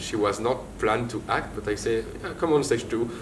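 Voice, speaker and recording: A man with a French accent speaks at a medium pitch and a moderate pace. There is audible room echo and noticeable background noise. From France. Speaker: theatre director. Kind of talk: interview. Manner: halting.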